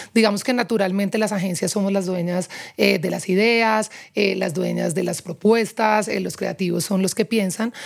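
The woman's pitch sits in the middle range. She keeps her intonation fairly even and moves at a moderate pace. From Colombia, Pereira. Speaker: advertising executive. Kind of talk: interview.

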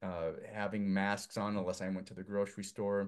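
Against a quiet background, a man with an American accent and an unremarkable speaking voice talks at a moderate pace in a fairly low pitch. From US Northwest (Idaho). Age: 50s. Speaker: filmmaker. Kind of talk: casual chat.

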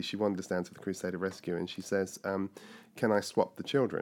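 Someone with a southern English accent talks at a fairly quick pace with fairly even intonation, recorded very cleanly over a silent background. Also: man. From southern England (Surrey, west London). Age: 50s. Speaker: pastor and inclusion consultant. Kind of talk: life story interview. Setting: recorded on location in London.

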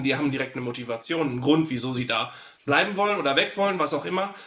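A man with a fairly high voice and ordinary pitch variation talks at a very fast pace, with audible room echo and noticeable background noise. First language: grew up trilingual (speaking German). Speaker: podcast co-host, tabletop roleplayer. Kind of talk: casual chat.

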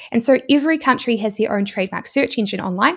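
A woman with a New Zealand accent speaks very fast in a fairly high voice. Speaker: YouTuber and e-commerce entrepreneur. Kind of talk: interview, explanatory talk.

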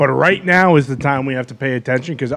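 Here a man has an unremarkable speaking voice. He moves at a fairly quick pace. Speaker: show panel member. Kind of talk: casual sports talk chat.

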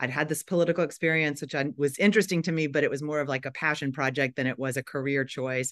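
A woman's very deep, low voice with fairly even intonation against a quiet background. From Tennessee, Nashville. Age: 50s. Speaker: nonprofit executive. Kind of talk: interview.

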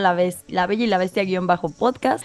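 This woman speaks with a Mexican accent. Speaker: podcast co-host. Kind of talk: casual chat.

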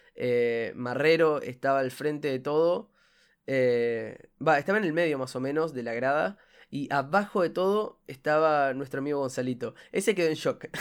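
A man with a Uruguayan accent, fairly high pitch, ordinary pitch variation and a moderate pace, on a very clean recording with a silent background. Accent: Rioplatense Spanish (Uruguayan). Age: 20s. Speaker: student podcaster. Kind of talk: casual monologue. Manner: halting, with repetitions and fillers.

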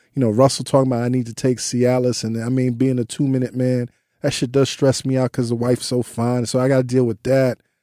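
A man talks at a very fast pace in a medium-pitched, dark, mellow tone with monotone, flat intonation. The recording is very clean with a silent background, dry and close with no echo. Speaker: podcast host. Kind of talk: read-out ad; casual interview chat. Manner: like an old-school radio DJ.

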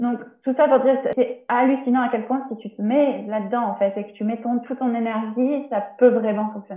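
Her pitch is high and her intonation fairly even. The woman keeps a moderate pace. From France, Tours. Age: 30s. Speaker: naturopath. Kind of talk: interview. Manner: halting. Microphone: poor sound quality.

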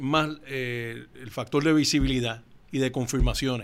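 In a very clean recording with a silent background, a man with a plain, everyday voice speaks at a medium pitch and fairly slow pace with fairly even intonation. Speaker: company founder. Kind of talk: interview.

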